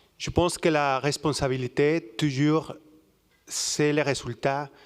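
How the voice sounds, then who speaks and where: On a very clean recording with a silent background, a man speaks at a fairly slow pace. His pitch is fairly high and his intonation fairly even. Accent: Mexican. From Mexico. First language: Spanish (speaking French). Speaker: audience member. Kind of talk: audience testimony. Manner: halting.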